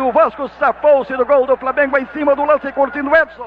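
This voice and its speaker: Noticeable background noise sits under a man whose pitch is extremely high and whose intonation is fairly even. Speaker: radio football commentator. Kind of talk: live radio sports commentary.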